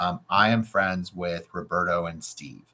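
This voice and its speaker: Loud and fairly slow, a man talks with a very deep, low pitch. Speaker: real estate coach. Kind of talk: tutorial. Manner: animated.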